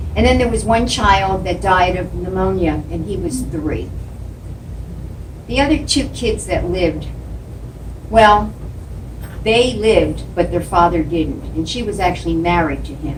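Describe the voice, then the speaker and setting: A woman speaks at a fairly slow pace with long, frequent pauses. Audible room echo and noticeable background noise surround her voice. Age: 70s. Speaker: public speaking club member. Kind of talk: prepared speech.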